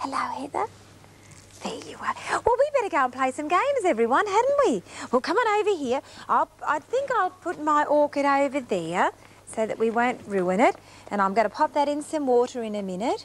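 A woman speaks at a fairly quick pace in a high voice. Her pitch swings very widely. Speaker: TV presenter. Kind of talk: warm presenting to small children. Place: studio.

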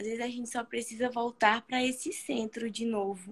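Her pitch fairly high and her intonation fairly even, a woman talks at a moderate pace. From Brazil. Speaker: study group member and co-host; co-host. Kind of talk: casual chat and discussion. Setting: live stream video call. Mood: calm, reflective. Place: home room. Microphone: video call.

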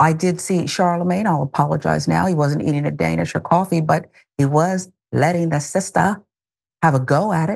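Over a quiet background, a woman talks with vocal fry at a very deep, low pitch. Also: moderate pace. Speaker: news show host. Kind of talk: commentary on video clips. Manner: animated, amused. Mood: wry, emphatic. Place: studio. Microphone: lapel.

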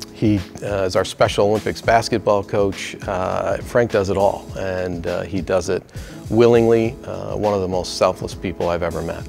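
Clear music plays behind a man speaking at a fairly low pitch. His pace is moderate and his intonation fairly even. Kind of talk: interview answer. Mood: warm, admiring, lightly humorous. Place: office. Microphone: lapel.

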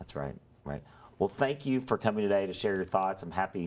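This man's pitch is very deep and low. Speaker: local government talk show host. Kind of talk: interview. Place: studio. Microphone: lapel.

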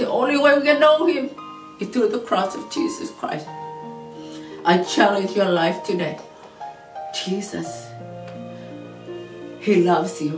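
Clear music plays in the background while a woman speaks at a fairly slow pace. She takes long, frequent pauses. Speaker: preacher. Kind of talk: sermon.

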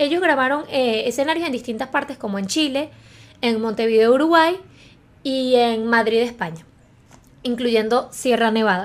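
With a Venezuelan accent, a woman speaks at a high pitch and a moderate pace. Her pitch varies in an ordinary way, broken by long, frequent pauses. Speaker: YouTuber. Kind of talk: film review monologue. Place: home room. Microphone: studio mic.

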